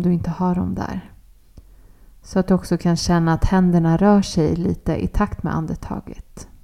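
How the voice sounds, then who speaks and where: Her tone is dark and mellow, with fairly even intonation. This woman's pitch is fairly low. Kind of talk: guided meditation. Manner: soft-spoken and gentle.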